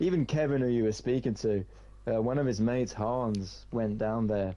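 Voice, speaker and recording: With a British accent, a man uses a dark, mellow tone at a fairly low pitch, ordinary pitch variation and a moderate pace. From Britain. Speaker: gaming streamer. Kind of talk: casual chat.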